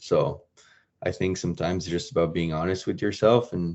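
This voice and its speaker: This man speaks with a French accent in a very deep, low pitch. His pitch varies in an ordinary way. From France. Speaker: professional hockey player. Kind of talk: podcast interview.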